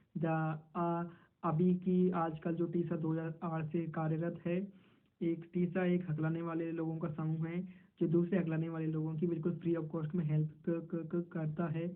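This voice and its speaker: The pitch of this man's voice is high. His intonation is monotone and flat. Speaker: person who stammers, stuttering self-help advocate. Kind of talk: explanatory answer in an interview role-play. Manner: stammering, repeated syllables, Hindi mixed with English.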